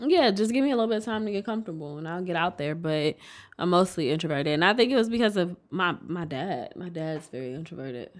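Talking very fast in an American accent, a woman with a fairly low pitch uses an animated tone and big swings in loudness. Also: lively intonation, very clean recording, silent background. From Detroit, Michigan. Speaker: podcast co-host. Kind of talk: casual chat. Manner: animated, laughs often.

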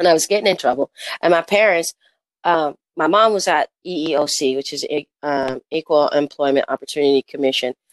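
Speaking at a moderate pace with an American accent, a woman has a very deep, low pitch, and the sound is dry and close with no echo. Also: ordinary pitch variation. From Kansas City, then California from age ten. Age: 50s. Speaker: surf organization founder, former celebrity designer. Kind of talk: casual interview. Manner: halting, repeats words.

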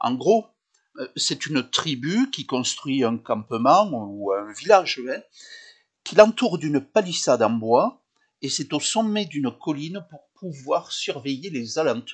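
In a southern French accent, a man with a fairly high pitch speaks very slowly, with very wide pitch swings and big swings in loudness. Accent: southern French, sing-song. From Occitanie, southern France. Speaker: tourism office representative. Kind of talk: interview.

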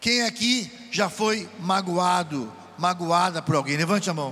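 A man with a high pitch talks at a very slow pace, with audible room echo and noticeable background noise. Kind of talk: sermon at a retreat. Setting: event with audience. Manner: animated.

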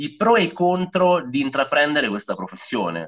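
The speaker is a man going at a moderate pace. His pitch swings very widely. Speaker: podcast host. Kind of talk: casual chat. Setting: remote call. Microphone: poor audio quality.

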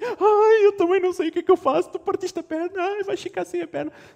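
In a put-on character voice pitched extremely high, a man talks at a fairly quick pace. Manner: panicked, dramatic, exaggerated.

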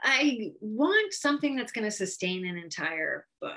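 A woman with an American accent and a normal speaking voice talks at a fairly slow pace. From Connecticut, US. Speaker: novelist. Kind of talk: interview.

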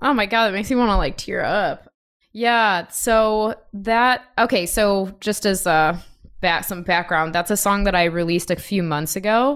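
A woman speaks at a moderate pace with a medium pitch and ordinary pitch variation, in a normal speaking voice, on a very clean recording with a silent background. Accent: American. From US Midwest, Chicago. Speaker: musician and music producer. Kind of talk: casual interview chat.

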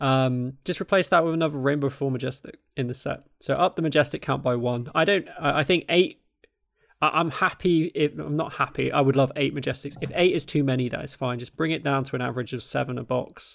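A man's fairly high voice, fairly quick, with fairly even intonation. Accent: southern English. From south-east England (Kent). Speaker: podcast host. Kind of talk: casual chat.

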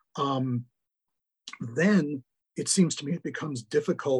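A man speaks with an American accent, somewhat breathy. The sound is dry and close, with no echo. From US Midwest, Milwaukee, Wisconsin. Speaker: law professor. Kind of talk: interview.

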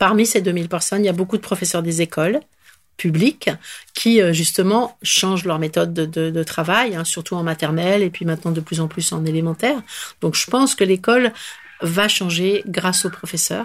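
A woman speaks in a normal speaking voice, pitched fairly low. Her pitch varies in an ordinary way, and her pace is moderate. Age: 60s. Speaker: school founder. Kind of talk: interview.

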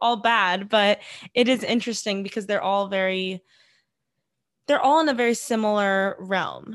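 In an ordinary speaking voice, a woman talks at a moderate pace with fairly high pitch and fairly even intonation. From US, born in Iran. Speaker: podcast host, dietitian in training. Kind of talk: interview; podcast intro.

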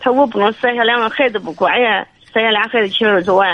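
A woman is speaking at a moderate pace. Her voice is fairly high. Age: 60s. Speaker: caller. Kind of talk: call-in advice. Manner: halting.

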